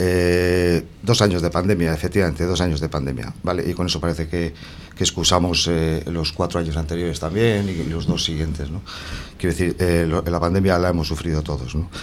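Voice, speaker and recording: A man with a very deep, low pitch, fairly even intonation and a fairly quick pace. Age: 50s. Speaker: councillor, election candidate and teacher. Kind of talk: radio election debate. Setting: radio studio.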